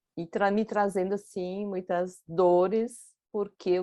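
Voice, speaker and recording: Dark, mellow tone from a woman at a medium pitch, over a quiet background. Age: 60s. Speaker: holistic therapist. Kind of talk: casual chat.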